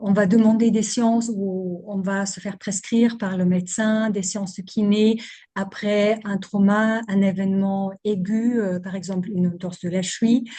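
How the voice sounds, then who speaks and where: A woman speaks at medium pitch in a dark, mellow, somewhat breathy tone. Her intonation is monotone and flat, with hardly any pauses. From Germany. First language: German (speaking French). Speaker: physiotherapist and somatic movement practitioner. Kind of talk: interview.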